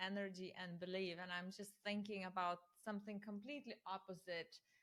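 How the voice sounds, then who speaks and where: A woman with a non-native accent talks at a moderate speed. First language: not English. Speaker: interviewer. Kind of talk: interview.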